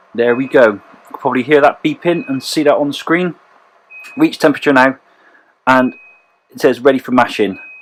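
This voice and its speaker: Speech in a Bristol accent, broken by long, frequent pauses. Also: fairly quick pace. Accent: West Country (Bristol). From West Country, Bristol. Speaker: homebrewer. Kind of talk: tutorial. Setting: home brewery. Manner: casual, with fillers.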